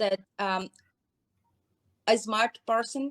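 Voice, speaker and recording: A woman with a Brazilian accent talks at a very slow pace with fairly even intonation. The sound is dry and close, with no echo. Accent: foreign accent, Brazilian. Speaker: hair care business owner. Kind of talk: interview. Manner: halting.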